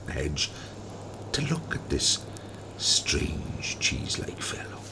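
A man speaks at a very slow pace in a dramatic tone. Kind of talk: folk tale reading. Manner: animated, doing character voices; storyteller pacing with dramatic pauses.

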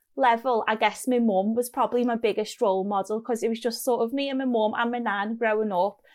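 At a fairly quick pace, a woman with a strong Scottish accent speaks at a fairly high pitch. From Scotland. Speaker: clinical scientist. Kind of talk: casual interview chat.

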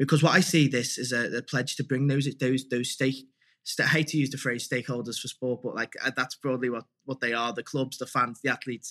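In a Liverpool accent, a man talks at a fairly quick pace and medium pitch with a bright, sharp tone. The sound is dry and close, with no echo. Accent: Scouse (Liverpool). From Liverpool, England. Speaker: campaigner for sustainable sport sponsorship. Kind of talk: interview conversation. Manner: animated; hesitant, many fillers and repetitions. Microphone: microphone issues.

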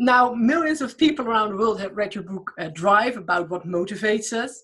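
With ordinary pitch variation, an ordinary speaking voice talks fairly quickly. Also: woman. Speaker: podcast host. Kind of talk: interview.

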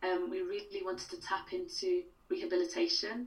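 Here is a woman with a Welsh accent. She talks at a moderate pace. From Wales. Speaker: playwright. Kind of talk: casual interview.

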